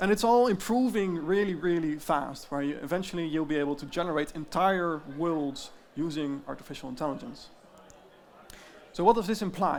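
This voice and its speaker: Speaking with a slight Dutch accent, a man has a high pitch and ordinary pitch variation at a moderate pace. Audible echo fills the room. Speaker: tech company founder. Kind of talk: conference presentation.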